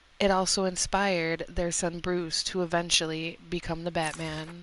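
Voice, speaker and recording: Against a quiet background, a woman speaks fairly slowly at a fairly low pitch with monotone, flat intonation. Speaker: ASMR streamer. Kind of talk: reading aloud on live stream. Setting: live stream. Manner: halting, stumbling over words; soft ASMR delivery.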